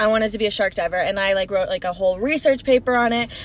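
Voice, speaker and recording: A woman with an American accent at a fairly high pitch, ordinary pitch variation, noticeable background noise behind her. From Florida and Minnesota. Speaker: podcast co-host. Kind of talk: casual chat.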